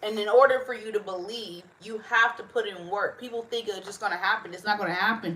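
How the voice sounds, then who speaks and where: A woman with a fairly high pitch talks at a fairly quick pace against noticeable background noise. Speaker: livestreamer. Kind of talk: casual chat. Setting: livestream.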